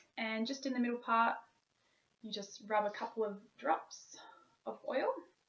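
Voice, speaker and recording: Here a woman talks with an Australian accent. Her pace is moderate and her pitch varies in an ordinary way. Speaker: wellness vlogger. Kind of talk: tutorial. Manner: stiff, robotic. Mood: calm, gentle. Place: home room. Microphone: webcam.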